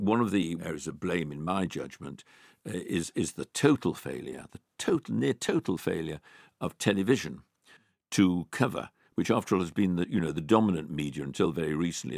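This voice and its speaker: A man's very deep, low voice with vocal fry, a fairly quick pace and ordinary pitch variation, in a very clean recording with a silent background and a dry, close sound with no echo. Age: 80s+. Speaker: private investor. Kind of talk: interview. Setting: studio. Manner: halting, many fillers and repeats.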